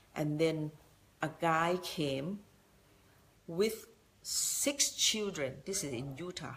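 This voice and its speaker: Speech in a Thai accent moves at a very slow pace with long, frequent pauses. The intonation is lively. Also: woman, fairly low pitch for a woman. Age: 60s. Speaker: business motivational speaker. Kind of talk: motivational talk. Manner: halting.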